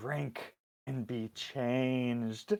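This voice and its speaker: A man's hissing, put-on character voice at a medium pitch. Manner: commanding, eerie.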